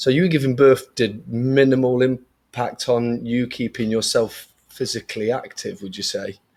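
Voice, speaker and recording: A man's normal speaking voice, medium in pitch and fairly even in intonation, at a moderate pace with hardly any pauses, on a very clean recording with a silent background. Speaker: podcast host, fitness studio owner. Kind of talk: podcast interview.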